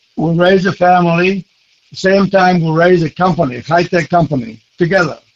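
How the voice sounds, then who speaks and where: A man with a high voice talks at a moderate pace with ordinary pitch variation, recorded dry and close with no echo. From Greece. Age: 80s+. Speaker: author. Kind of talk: interview. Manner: halting.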